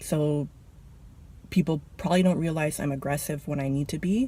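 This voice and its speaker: Soft-spoken and somewhat breathy, the speaker goes at a very fast pace with a dark, mellow tone and ordinary pitch variation. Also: woman. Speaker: vlogger, cashier. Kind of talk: casual vlog rant. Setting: in a car.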